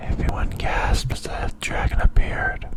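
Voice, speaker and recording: Whispering very slowly, a man's voice sits beneath noticeable background noise. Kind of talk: bedtime story reading. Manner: soft-spoken.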